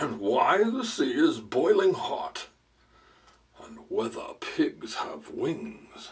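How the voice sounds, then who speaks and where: Using a put-on character voice, a man speaks at a very slow pace with big swings in loudness. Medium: read story. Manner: pompous, sentimental.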